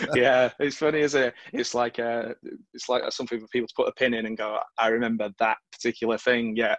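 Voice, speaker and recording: A man with a Mancunian accent, medium pitch, fairly quick pace and monotone, flat intonation, in a dry, close sound with no echo. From northern England, Stockport. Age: 40s. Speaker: interviewer, teacher. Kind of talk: interview.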